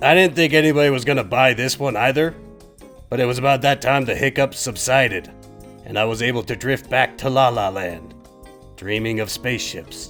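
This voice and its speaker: Over clear music in the background, a man puts on a cartoonish character voice. His pitch is medium and he talks at a fairly quick pace. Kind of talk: comedic puppet monologue. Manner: casual, deadpan.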